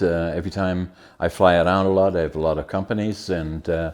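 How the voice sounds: At a moderate pace, a man talks in a low pitch with a slightly mellow tone and ordinary pitch variation.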